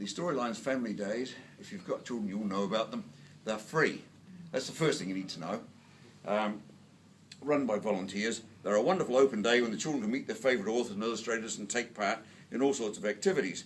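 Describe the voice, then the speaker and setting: A man with a New Zealand accent talks at a very fast pace yet leaves long, frequent pauses, his medium pitch showing ordinary variation amid audible room echo. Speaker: book reviewer and lecturer. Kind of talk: award lecture. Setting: stage with audience. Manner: loud.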